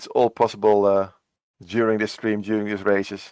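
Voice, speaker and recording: A man speaks at a medium pitch with a Dutch accent, the sound dry and close with no echo. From Netherlands. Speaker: esports cycling commentator. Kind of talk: live commentary. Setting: home work room.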